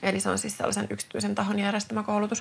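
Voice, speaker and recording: There is noticeable background noise. A woman speaks at a very fast pace. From Finland, Tuusula (Finland-Swedish). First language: Swedish (speaking Finnish). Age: 30s. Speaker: physiotherapist and podcast host. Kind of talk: solo podcast monologue. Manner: hesitant, many fillers.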